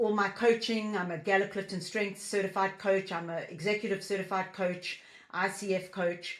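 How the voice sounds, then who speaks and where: At a moderate pace, a woman with a South African accent speaks in a medium-pitched voice with monotone, flat intonation. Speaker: business founder and leadership coach. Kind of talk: interview podcast.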